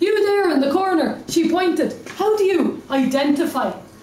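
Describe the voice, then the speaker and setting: Moderate-paced female speech amid noticeable background noise. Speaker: slam poet. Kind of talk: slam poetry performance.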